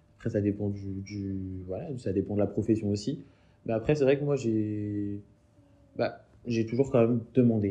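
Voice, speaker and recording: A man's fairly slow, fairly low-pitched voice with a dark, mellow tone and fairly even intonation. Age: 20s. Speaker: interviewee, smoker. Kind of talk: interview testimony. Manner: halting, many repetitions.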